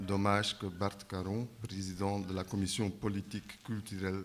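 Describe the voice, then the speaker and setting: A man's very deep, low voice in a Flemish accent, monotone and flat, at a fairly slow pace. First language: Dutch (speaking French). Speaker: circus centre director. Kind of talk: conference panel talk.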